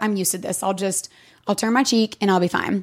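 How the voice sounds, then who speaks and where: A woman with an East Tennessee accent. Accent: Southern US (East Tennessee). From East Tennessee, US South. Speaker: podcast guest. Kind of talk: testimony.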